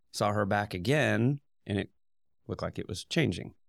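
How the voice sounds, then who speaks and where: A man's very deep, low voice with vocal fry and a Midwestern US accent, at a moderate pace, in a very clean recording with a silent background and a dry, close sound with no echo. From Indiana. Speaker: dentist. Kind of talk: casual interview.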